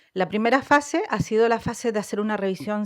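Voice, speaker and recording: A woman talks with a Chilean accent at a fairly high pitch. She keeps a fairly slow pace. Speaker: social worker and researcher. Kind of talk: research presentation. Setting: conference panel with audience.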